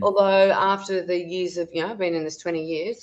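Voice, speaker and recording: Speaking with an Australian accent, a woman uses a fairly low pitch and fairly even intonation. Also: quiet background. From Tasmania, Australia. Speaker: wellness educator and natural health therapist. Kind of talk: podcast interview answer. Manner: casual, chatty with fillers.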